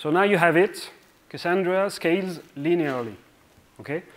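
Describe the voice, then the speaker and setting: With a French accent, the words come at a moderate pace. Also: man. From France. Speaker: software engineer. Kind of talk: conference talk. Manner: hesitant, many fillers.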